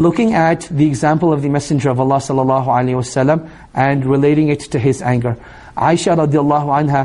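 This man talks very fast in a dark, mellow tone. His pitch sits fairly high for a man, and his intonation stays fairly even. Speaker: Islamic teacher. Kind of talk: religious lecture. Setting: live class with audience.

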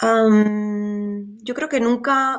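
This woman speaks with a fairly high pitch. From Spain. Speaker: safari tour operator. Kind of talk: interview.

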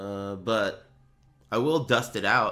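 This man's tone is bright and sharp, with ordinary pitch variation. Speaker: streamer commentating fighting game matches. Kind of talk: casual live stream commentary. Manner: casual, profane, laughs a lot.

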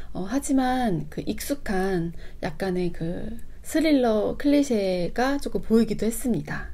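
Her voice has a dark, mellow tone as this woman moves through very wide pitch swings. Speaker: book YouTuber. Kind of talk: book review monologue. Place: home room.

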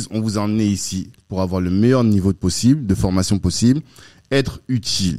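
Fairly low male voice with a dark, mellow tone over a quiet background. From France, Paris suburbs (cité), born Central African Republic; France. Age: 40s. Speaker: entrepreneur, network co-founder; podcast guest. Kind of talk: casual interview. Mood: relaxed, earnest. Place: studio. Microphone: studio mic.

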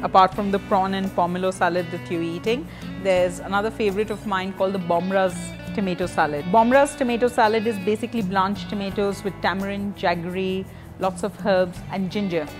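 Over clear music in the background, a woman talks at a fairly quick pace with ordinary pitch variation. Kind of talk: interview answer. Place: cafe. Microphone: lapel.

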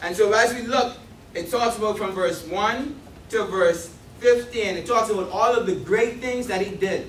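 A high-pitched man speaks at a moderate pace with ordinary pitch variation. Audible room echo and light background noise are present. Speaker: speaker. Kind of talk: sermon. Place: church.

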